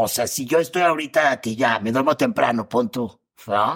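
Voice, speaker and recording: Recorded very cleanly against a silent background, a man speaks with a Mexican accent. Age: 40s. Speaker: comedian and actor. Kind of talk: casual chat.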